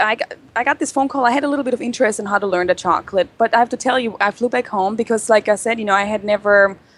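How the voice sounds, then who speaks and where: A woman's fairly high voice with a European accent, very fast, with ordinary pitch variation and a dry, close sound free of echo. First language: not English. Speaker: chocolatier, business owner. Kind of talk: interview.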